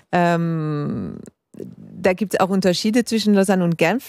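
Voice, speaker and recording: This woman's fairly low voice keeps a fairly even intonation. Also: very clean recording, silent background. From Geneva, Switzerland. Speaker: literary scholar. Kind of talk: casual chat. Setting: tent at a literature festival. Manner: halting, many fillers.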